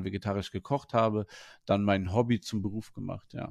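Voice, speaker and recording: This man has a plain, everyday voice with fairly low pitch. He speaks at a fairly quick pace with fairly even intonation. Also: quiet background. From Germany, Wuppertal. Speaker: head chef. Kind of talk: interview.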